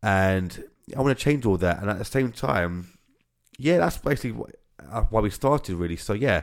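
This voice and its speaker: A man speaks in a fairly low pitch. His intonation is lively. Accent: British. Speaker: podcast host and orchestra founder. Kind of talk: casual podcast intro. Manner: fast talker, mumbles, repeats himself; halting, stumbles over words.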